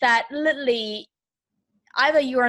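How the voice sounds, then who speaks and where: With a German accent, a woman speaks at a moderate pace in a high voice with ordinary pitch variation. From Germany. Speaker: business coach. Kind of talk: interview answer. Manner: energetic.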